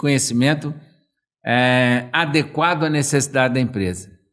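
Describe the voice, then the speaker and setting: A man speaks fairly slowly in an unremarkable speaking voice, his pitch varying in an ordinary way. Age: 60s. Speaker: management consultant. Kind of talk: casual chat.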